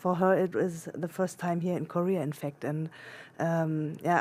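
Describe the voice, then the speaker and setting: A woman's fairly low voice with a German accent and fairly even intonation, on a very clean recording with a silent background. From Germany. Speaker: international adoptee searching for birth family. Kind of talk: interview. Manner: halting, many fillers and restarts.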